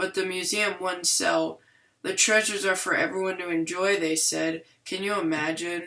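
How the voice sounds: A natural reading voice keeps a fairly even intonation.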